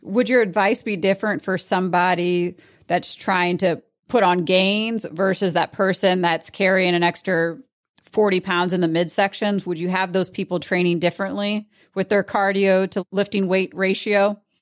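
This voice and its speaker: At a moderate pace, a woman speaks in a plain, everyday voice of medium pitch with fairly even intonation. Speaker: podcast host. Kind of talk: interview.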